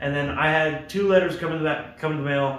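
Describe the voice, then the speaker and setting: Noticeable background noise and audible room echo surround a man speaking at a fairly quick pace, his fairly high pitch showing ordinary variation. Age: 20s. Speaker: aircraft mechanic and hobby vlogger. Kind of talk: casual vlog while working. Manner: fast; quiet.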